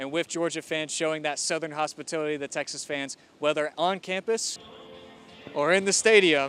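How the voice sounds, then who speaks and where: Over music in the background, a man speaks at a moderate pace in a fairly high voice with fairly even intonation. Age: 20s. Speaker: sports broadcast journalism student. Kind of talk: sports news anchor delivery.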